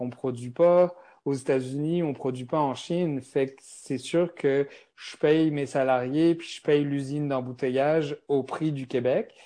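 A man speaks at a very slow pace in a dark, mellow tone, with ordinary pitch variation over a quiet background. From France. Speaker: beverage company founder. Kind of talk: interview. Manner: hesitant, many fillers.

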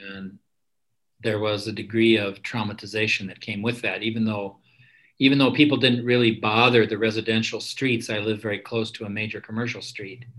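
An American accent marks this man's speech, medium-pitched, fairly quick, and monotone with flat intonation. His loudness swings a lot. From Minnesota, Minneapolis suburbs. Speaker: psychologist and meditation teacher. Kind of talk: casual interview.

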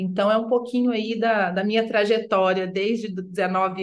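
A woman talks in a plain, everyday voice. Her pace is moderate and her intonation fairly even. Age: 40s. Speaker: sustainability consultant. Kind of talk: interview.

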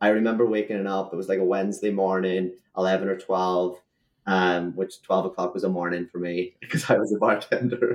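A man with an American accent, very deep and low in pitch, at a moderate pace with fairly even intonation. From rural Ireland, small fishing village. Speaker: real estate agent. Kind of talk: interview.

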